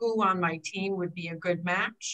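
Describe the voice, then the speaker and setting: A woman talks at a fairly slow pace with a bright, sharp tone. The background is quiet. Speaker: aging life care manager; panelist. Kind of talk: panel discussion. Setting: video call. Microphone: webcam.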